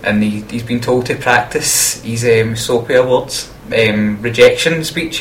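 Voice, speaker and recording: Through noticeable background noise comes a man's voice at medium pitch. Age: 20s. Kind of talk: radio dj patter, student radio presenting. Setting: radio studio. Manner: bright, jokey, and energetic, with quick station-ident style links.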